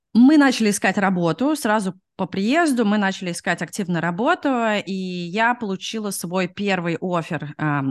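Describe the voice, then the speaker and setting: A woman is speaking. Her pace is moderate. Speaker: product manager, immigrant. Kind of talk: interview. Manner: hesitant, many fillers.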